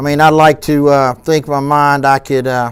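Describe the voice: The man's tone is clear and smooth. He talks at a fairly slow pace with fairly even intonation.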